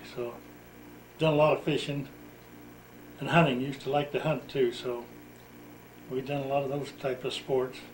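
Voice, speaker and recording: Pitched fairly high, a man speaks at a moderate pace in a somewhat breathy voice with monotone, flat intonation. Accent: American. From Utah, US. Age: 70s. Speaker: retired farmer telling his life story. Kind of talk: oral history interview.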